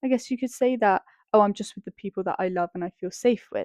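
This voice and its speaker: Heard with a dry, close sound and no echo, a woman with a British accent speaks at a fairly high pitch with ordinary pitch variation. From England. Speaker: podcast co-host. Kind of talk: casual chat.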